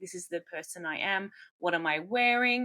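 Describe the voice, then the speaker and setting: In a very clean recording with a silent background, a woman with an Australian accent speaks fairly slowly at a medium pitch, her bright, sharp, animated tone carrying ordinary pitch variation. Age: 30s. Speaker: roller derby coach. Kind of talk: casual coaching talk.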